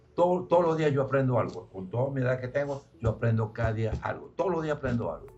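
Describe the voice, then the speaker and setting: Talking at a very fast pace, a man barely pauses at all. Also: medium pitch for a man, ordinary pitch variation. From Venezuela, Zulia state. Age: 80s+. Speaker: company founder. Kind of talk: radio interview. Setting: radio studio.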